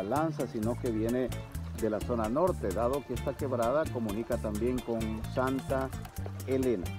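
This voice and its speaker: A man at a moderate pace with very wide pitch swings, dry sound with no echo, and clear music in the background. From El Salvador. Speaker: TV host and professional announcer. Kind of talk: outdoor field report narration. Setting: outdoors. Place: waterside. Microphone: phone near.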